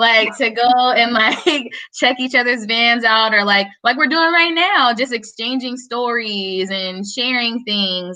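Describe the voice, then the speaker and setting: A woman speaks loudly at a fairly slow pace in a bright, sharp tone. Her fairly high pitch varies an ordinary amount. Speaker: van lifer panelist. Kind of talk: casual panel chat.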